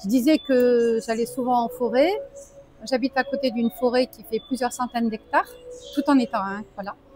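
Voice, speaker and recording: Music plays in the background as a woman with a high pitch speaks at a moderate pace with ordinary pitch variation and long, frequent pauses. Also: big swings in loudness. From French Alps. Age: 60s. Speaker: expat entrepreneur, AI trainer. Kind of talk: interview. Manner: halting, many hesitations.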